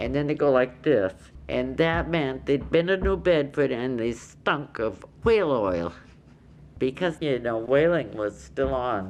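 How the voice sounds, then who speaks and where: A woman with an American accent speaks at a fairly slow pace. Her very deep, low pitch carries vocal fry and lively intonation. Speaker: longtime island resident recalling deaf community. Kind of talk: oral history interview answer.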